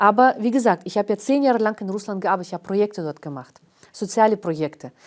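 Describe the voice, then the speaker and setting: Here a woman talks at a very fast pace. Her pitch is medium and her intonation lively. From Karelia, northern Russia. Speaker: historian and cultural organizer. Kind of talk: interview. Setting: studio. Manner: hesitant, many fillers.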